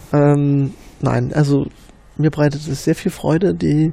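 This man, with an East Berlin accent, talks at a moderate pace in a fairly high pitch with fairly even intonation. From East Berlin, Marzahn. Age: 30s. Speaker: Wikipedia volunteer administrator. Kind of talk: casual interview. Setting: office room. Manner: hesitant, many fillers.

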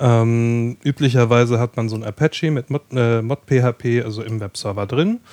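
In an unremarkable speaking voice, a man of medium pitch talks at a fairly slow pace with fairly even intonation, the sound dry and close with no echo. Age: 30s. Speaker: podcast hosting project operator. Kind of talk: casual chat.

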